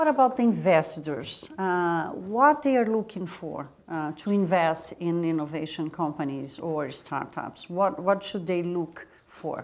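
In a Portuguese accent, a woman talks at a fairly slow pace and fairly low pitch, with lively intonation and hardly any pauses. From Brazil. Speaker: interviewer. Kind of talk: interview. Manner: halting. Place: studio. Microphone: lapel.

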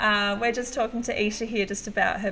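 A woman speaks with an Australian accent. Faint music plays in the background. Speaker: livestream host and music photographer; livestream host. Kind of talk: casual live-stream interview. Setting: live video stream. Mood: warm, encouraging. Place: home room. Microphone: webcam.

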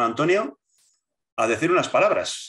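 Against a quiet background, a bright, sharp tone comes through with ordinary pitch variation. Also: man. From Basque Country, Spain. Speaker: political movement leader; interviewee. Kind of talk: interview. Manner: halting, many repetitions and fillers. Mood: reminiscing, calm storytelling. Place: home room. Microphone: video call.

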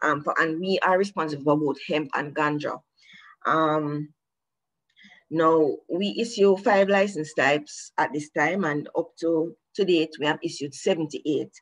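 This woman's voice is very deep and low. She speaks at a fairly slow pace. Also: ordinary pitch variation. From Jamaica. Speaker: government regulator. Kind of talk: prepared presentation. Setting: video call. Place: home room. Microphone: video call.

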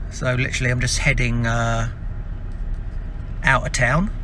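Fairly slow talking from a man, with noticeable background noise behind it. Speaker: business owner vlogger. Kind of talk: casual vlog chat. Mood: relaxed, upbeat. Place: car. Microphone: phone near.

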